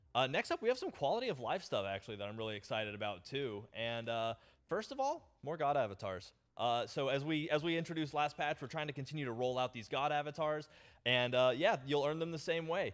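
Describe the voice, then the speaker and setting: Fairly high-pitched and animated, a man races along at a very fast pace with lively intonation. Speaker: game update presenter. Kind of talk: patch notes livestream presentation.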